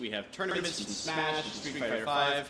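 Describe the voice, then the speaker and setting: A man speaks loudly. Noticeable background noise runs underneath. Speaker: nonprofit museum director, former game journalist. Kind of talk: event welcome speech. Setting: event space with audience, microphone.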